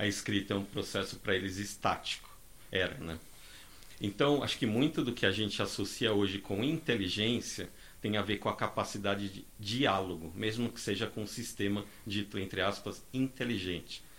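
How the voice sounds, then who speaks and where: A man with a plain, everyday voice, fairly low in pitch, with ordinary pitch variation at a moderate pace. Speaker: data scientist. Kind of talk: panel discussion.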